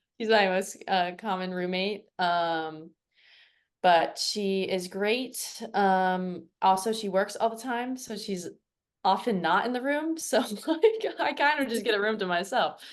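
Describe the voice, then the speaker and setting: A woman speaks with an American accent at a fairly slow pace. She has a plain, everyday voice. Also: medium pitch for a woman. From US, Virginia Beach, Virginia. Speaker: field hockey player. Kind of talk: podcast interview.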